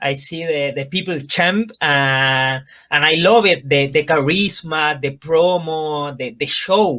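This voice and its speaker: A man with a Chilean Spanish accent speaks at a very slow pace and a fairly high pitch, with ordinary pitch variation. His tone is bright and sharp, and the background is quiet. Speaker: professional wrestler. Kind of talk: interview. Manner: halting.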